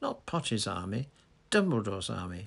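Putting on a character voice, a man speaks at a moderate pace with a fairly low pitch, big pitch swings, vocal fry and a fairly bright tone.

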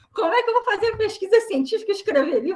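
This woman has a bright, sharp tone. Her pitch swings very widely. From Brazil. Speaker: biologist and writer. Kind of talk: interview. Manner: halting.

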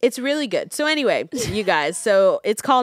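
On a very clean recording with a silent background, a woman speaks in an animated tone at a moderate pace. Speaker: podcast co-host. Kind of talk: casual chat.

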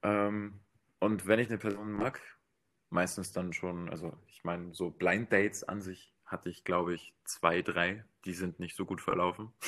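On a very clean recording with a silent background, a man with a very deep, low pitch speaks at a fairly slow pace in a monotone, flat intonation. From Bavaria. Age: 20s. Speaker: dating show guest. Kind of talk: casual chat.

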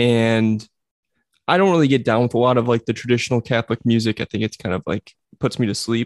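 A playful voice with an American accent races at a very fast pace with ordinary pitch variation, sounding dry and close with no echo against a quiet background. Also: man, medium pitch for a man. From New Jersey. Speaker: podcast host. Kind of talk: casual banter. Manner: joking, playful.

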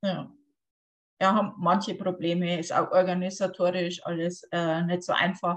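Over a quiet background, a woman speaks at a medium pitch and a moderate pace. Her voice is somewhat breathy and her intonation flat and monotone. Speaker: podcast host. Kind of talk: casual interview. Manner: hesitant, many fillers.

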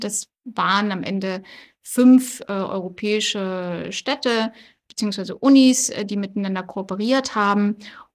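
A woman with an ordinary speaking voice at a medium pitch, fairly slow in pace, with ordinary pitch variation on a very clean recording with a silent background. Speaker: politician. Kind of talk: interview. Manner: many filler sounds (äh, ähm).

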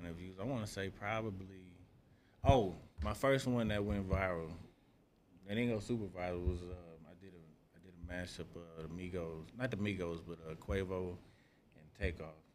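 A man with a very deep, low pitch and ordinary pitch variation speaks at a moderate pace. He leaves long, frequent pauses, and audible room echo fills the space. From Wichita, Kansas. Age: 40s. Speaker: DJ. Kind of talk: casual chat.

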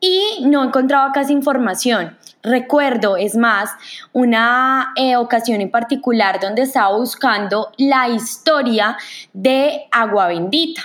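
Delivered at a very slow pace, the speech keeps a very even loudness and ordinary pitch variation. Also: woman, high pitch for a woman. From Colombia, Manizales. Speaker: podcast host. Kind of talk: podcast introduction monologue. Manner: hesitant, many fillers.

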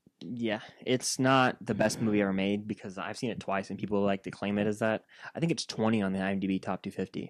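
A man with a fairly low pitch talks in a plain, everyday voice at a fairly quick pace. His intonation is fairly even, and the sound is dry and close with no echo. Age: 20s. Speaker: podcast co-host. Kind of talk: casual chat.

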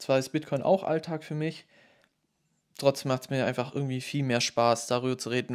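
A normal speaking voice from a man, medium in pitch, with fairly even intonation. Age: 20s. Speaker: podcaster. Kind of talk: solo monologue. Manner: casual.

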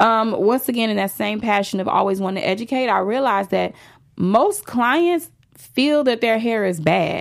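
An ordinary speaking voice from a woman, fairly high in pitch, with lively intonation and a moderate pace. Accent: American. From Chicago, south side (Roseland). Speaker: celebrity hairstylist. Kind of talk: interview. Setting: studio.

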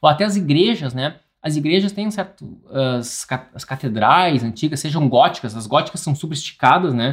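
Lively intonation runs through a man's fairly high, somewhat breathy voice. His loudness swings widely. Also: moderate pace. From interior of Rio Grande do Sul, Brazil. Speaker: architect and podcast host. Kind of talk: solo educational podcast monologue. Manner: informal, frequent fillers and restarts.

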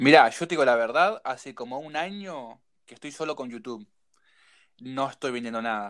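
A man talks at a medium pitch with a Uruguayan accent and lively intonation. His loudness swings widely, and the recording is very clean with a silent background. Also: moderate pace. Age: 30s. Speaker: woodworking youtuber. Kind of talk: casual chat.

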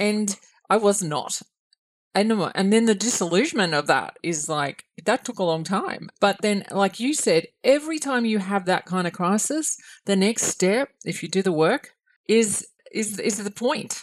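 Speaking fairly slowly in an Australian accent, a woman keeps a medium pitch and lively intonation. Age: 50s. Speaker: podcast host. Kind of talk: casual interview chat.

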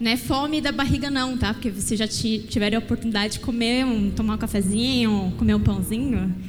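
Music plays in the background as a woman with a fairly high pitch speaks at a moderate pace. Her tone is animated and warm, with ordinary pitch variation. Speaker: preacher. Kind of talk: sermon in church, exhorting the congregation, with prayer and calls for amen. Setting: church. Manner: builds repetitive, rhythmic phrasing with emphatic pauses before calls for amen.

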